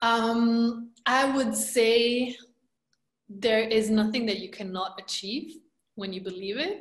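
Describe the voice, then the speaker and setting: A woman speaks at a very slow pace in a fairly high pitch, with ordinary pitch variation. Her loudness swings widely. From Romania. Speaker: energy healer and empowerment coach. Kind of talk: interview.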